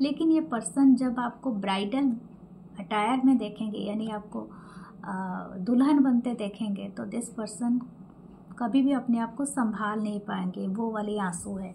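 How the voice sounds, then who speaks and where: Here a woman is soft-spoken, with a fairly high pitch. Her pitch variation is ordinary. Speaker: tarot reader. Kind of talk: tarot reading.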